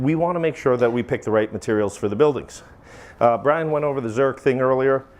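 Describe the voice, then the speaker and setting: This man has a Maine accent and a medium pitch with ordinary pitch variation. He talks at a fairly quick pace. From Maine, US. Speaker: flashing manufacturer president, presenter. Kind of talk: technical presentation. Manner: animated.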